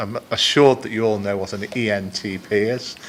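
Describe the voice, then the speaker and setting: This man talks in a Liverpool accent at a fairly quick pace, his medium-pitched voice flat and monotone. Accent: Liverpool (Scouse) English. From Liverpool, northern England. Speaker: business executive. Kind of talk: conference presentation. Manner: halting, many fillers.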